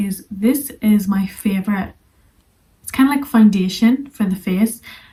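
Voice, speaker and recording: A woman speaks at a fairly slow pace, somewhat breathy, with a fairly high pitch and ordinary pitch variation. Her loudness swings widely. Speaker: English teacher. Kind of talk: tutorial.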